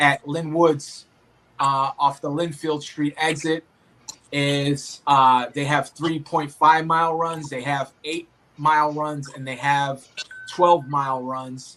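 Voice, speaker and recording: Speaking very slowly in a Boston accent, a man has a bright, sharp tone, a fairly high pitch and monotone, flat intonation. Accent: thick Boston. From Boston, Massachusetts. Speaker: obstacle race athlete and referee. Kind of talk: casual chat.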